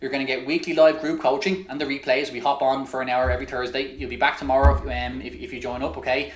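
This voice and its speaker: With an Irish accent and an energetic tone, a man talks at a very fast pace through noticeable background noise and audible room echo. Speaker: online business coach. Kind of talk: webinar sales pitch. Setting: live webinar.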